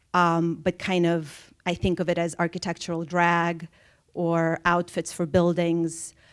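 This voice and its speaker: Speaking with a Russian accent, a woman with a fairly low pitch keeps monotone, flat intonation and very even loudness on a very clean recording with a silent background. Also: fairly slow pace. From Soviet Russia, moved to US at twelve. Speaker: artist. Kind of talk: public conversation. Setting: theater stage with audience.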